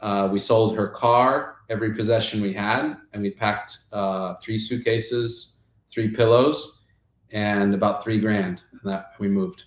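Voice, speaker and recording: A man with an American accent, fairly even intonation and a fairly slow pace. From South Africa. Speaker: game company founder. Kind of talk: podcast interview, personal story. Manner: casual, filler-heavy.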